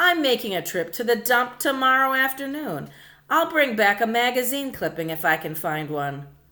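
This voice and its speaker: A woman uses a put-on, gruff character voice at a high pitch with very wide pitch swings. She speaks at a moderate pace in a very clean recording with a silent background. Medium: read story. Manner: gruff, sullen.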